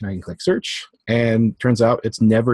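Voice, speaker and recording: The voice is somewhat breathy, with a dry, close sound and no echo. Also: man. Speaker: religious studies teacher. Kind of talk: tutorial. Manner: fast; casual with many fillers.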